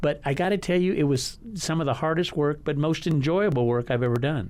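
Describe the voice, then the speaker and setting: Speaking at a fairly quick pace with a West Texas accent, a man has a fairly high pitch, ordinary pitch variation and very even loudness. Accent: West Texas American. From El Paso, Texas. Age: 60s. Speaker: learning center owner. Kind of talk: casual interview. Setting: radio studio. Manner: halting, many repeated words.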